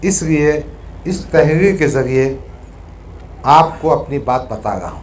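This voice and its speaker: A man talks at a fairly high pitch, with ordinary pitch variation and big swings in loudness. The room echo is audible and background noise is noticeable. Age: 60s. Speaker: politician. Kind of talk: reading aloud. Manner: formal.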